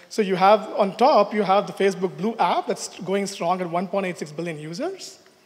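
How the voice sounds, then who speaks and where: At a moderate pace, a man speaks in a high pitch with ordinary pitch variation. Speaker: network engineer; conference presenter. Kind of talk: conference talk. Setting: stage with audience. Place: hall.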